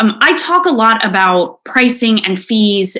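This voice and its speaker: This woman has a New York accent and a bright, sharp tone. Her pitch sits fairly high and her intonation is lively. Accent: New York City. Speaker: financial industry consultant. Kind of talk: presentation to financial advisors. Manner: frequent repetitions and self-corrections.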